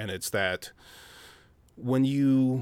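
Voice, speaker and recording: A man with an Upper Midwest accent is heard in a very clean recording with a silent background. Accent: Upper Midwest American. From Minnesota, Minneapolis. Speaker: chef. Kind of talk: casual chat.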